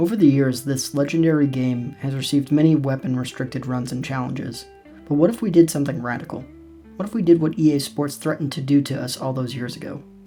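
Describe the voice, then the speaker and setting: A man's very fast, fairly high-pitched speech with big swings in loudness, over music in the background. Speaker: gaming YouTuber. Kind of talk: scripted comedic gameplay commentary voice-over. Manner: monotone, deadpan.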